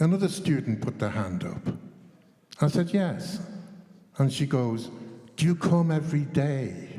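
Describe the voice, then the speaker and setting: In an English accent, a man with a fairly high pitch and lively intonation speaks at a fairly slow pace, with long, frequent pauses. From England. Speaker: chess teacher trainer. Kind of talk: panel discussion. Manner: animated.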